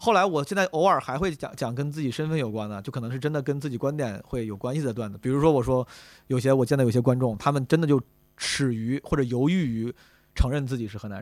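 A man at a very fast pace with an animated tone, medium pitch and ordinary pitch variation, on a very clean recording with a silent background. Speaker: comedian. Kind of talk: casual chat. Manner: animated, joking.

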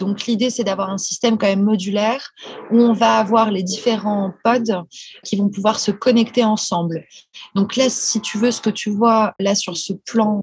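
Her intonation is monotone and flat. The woman speaks with a fairly high pitch at a fairly slow pace. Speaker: space architect entrepreneur. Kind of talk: casual chat.

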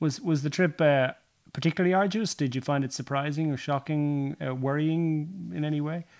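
In an Irish accent, a man talks at a moderate pace and a fairly high pitch with ordinary pitch variation. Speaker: podcast host and sports journalist. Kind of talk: casual interview. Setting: recorded at guest's home.

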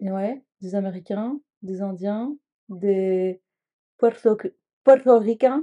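A woman's medium-pitched voice with a dark, mellow tone, ordinary pitch variation, a very slow pace and long, frequent pauses, all in a dry, close sound with no echo. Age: 30s. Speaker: vegan cooking trainee. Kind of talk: casual chat.

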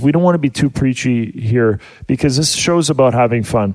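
This man has a plain, everyday voice at medium pitch with ordinary pitch variation, and the sound is dry and close with no echo. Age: 40s. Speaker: family radio show host. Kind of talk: casual family radio show chat. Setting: studio.

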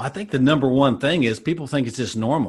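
A man's very fast speech in a very clean recording with a silent background. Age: 50s. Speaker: health coach. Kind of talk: interview.

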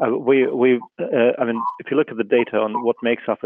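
A man is talking. The pitch is medium. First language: not English. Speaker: equity fund manager. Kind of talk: panel discussion.

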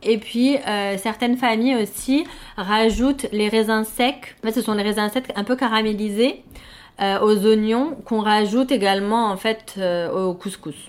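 The speaker has an ordinary speaking voice and ordinary pitch variation. The pace is fairly slow. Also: woman. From Morocco (Fès, Casablanca). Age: 30s. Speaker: expatriate sharing home cuisine. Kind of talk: interview.

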